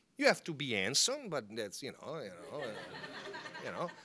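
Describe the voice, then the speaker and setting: With an Italian accent, a man speaks at a high pitch in a bright, sharp tone. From northern Italy, Milan. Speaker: former papal guard giving a talk. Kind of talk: public talk. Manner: animated.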